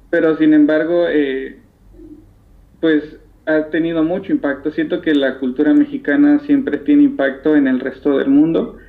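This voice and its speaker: A man's plain, everyday voice, fairly high in pitch, with ordinary pitch variation, very even loudness and a moderate pace. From Mexico (Isthmus of Tehuantepec, Oaxaca). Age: young. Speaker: textile dyer and artisan. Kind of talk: interview. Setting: phone call.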